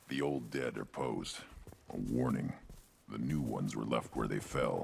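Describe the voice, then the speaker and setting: A man puts on a character voice, talking at a moderate pace in a very deep, low pitch. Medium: video game. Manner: blunt, terse.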